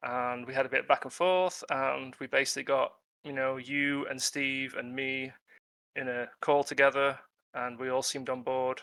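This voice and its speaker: In a strong British accent, the voice has a bright, sharp tone, a moderate pace and monotone, flat intonation. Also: man, medium pitch for a man. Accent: British, self-described as strong. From UK. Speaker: freelance tabletop game writer. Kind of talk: casual interview on a live webinar. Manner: hesitant, many fillers.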